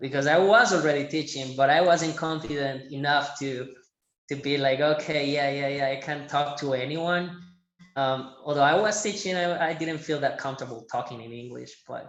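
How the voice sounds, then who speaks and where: A man with a Colombian paisa accent talks at a moderate pace in a fairly high pitch, his loudness swinging widely. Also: ordinary pitch variation. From Medellin, Colombia. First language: Spanish. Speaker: Spanish teacher. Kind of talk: podcast interview answer.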